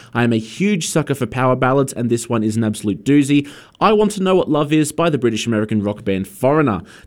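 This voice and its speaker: A man with an Australian accent at medium pitch, very fast pace and lively intonation. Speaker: radio host. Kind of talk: radio DJ patter: friendly, chatty song intros and back-announcements between tracks. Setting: community radio studio. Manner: warm, upbeat, conversational, slightly hesitant with fillers.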